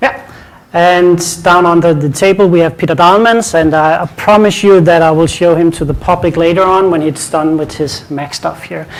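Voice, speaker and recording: A man speaks in a Danish accent at a high pitch. There is noticeable background noise. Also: ordinary pitch variation, moderate pace. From Denmark. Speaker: IT conference speaker. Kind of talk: conference presentation. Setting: stage with audience.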